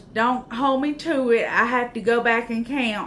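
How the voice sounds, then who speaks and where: At a very slow pace, a woman with a Southern US accent speaks at a high pitch in a bright, sharp tone. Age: 40s. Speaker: YouTuber, vlogger. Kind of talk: casual vlog chat. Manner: chatty, informal.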